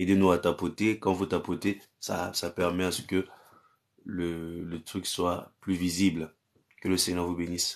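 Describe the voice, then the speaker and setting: This man's pitch is very deep and low, with monotone, flat intonation. He talks at a fairly slow pace against a quiet background. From Cameroon. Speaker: pastor. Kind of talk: live-stream prayer and chat with viewers. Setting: live stream on social media. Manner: repetitive incantatory declarations. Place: home room. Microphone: phone near.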